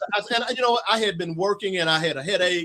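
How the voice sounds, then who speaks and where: Talking at a very fast pace, a man uses a high pitch with ordinary variation. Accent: Arkansas. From US South (Arkansas). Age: 60s. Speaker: author. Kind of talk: interview storytelling.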